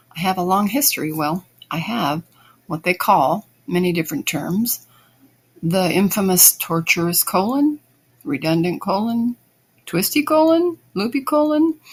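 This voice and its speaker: Somewhat breathy, a woman speaks at a medium pitch with very wide pitch swings. She goes at a fairly slow pace with long, frequent pauses. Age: 60s. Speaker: listener asking a question. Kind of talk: recorded voice message.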